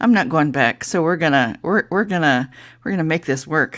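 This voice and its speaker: In a Southern US accent, a woman speaks with a very deep, low pitch and lively intonation. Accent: hillbilly US. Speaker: livestream host. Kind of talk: casual live stream chat. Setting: live stream. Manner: halting, many fillers.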